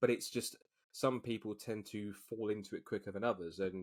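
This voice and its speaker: With an English accent, a man speaks at a fairly low pitch. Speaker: motorsport commentator. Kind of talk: podcast interview. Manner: fast.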